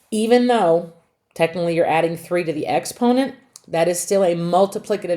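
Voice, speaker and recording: A woman speaks with lively intonation at a fairly low pitch. She has an ordinary speaking voice. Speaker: math teacher. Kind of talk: lecture.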